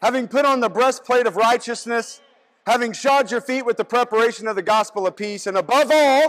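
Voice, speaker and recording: The background is quiet as a man speaks at an extremely high pitch. His pace is fairly quick. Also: ordinary pitch variation. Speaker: preacher. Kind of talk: sermon. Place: hall.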